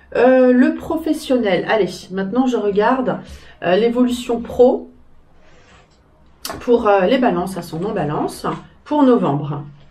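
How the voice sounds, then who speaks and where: Speaking at a very slow pace with long, frequent pauses, a woman uses a fairly high pitch and very wide pitch swings. Audible room echo surrounds her voice. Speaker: tarot reader. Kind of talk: tarot reading video. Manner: hesitant with fillers.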